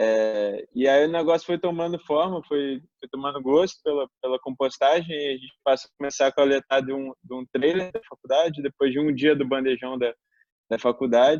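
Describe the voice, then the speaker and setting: A man's fairly high voice at a moderate pace, with ordinary pitch variation and big swings in loudness. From Brazil, Belo Horizonte, Minas Gerais. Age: 20s. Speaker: environmental engineer, composting project founder. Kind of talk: interview. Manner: hesitant, many fillers.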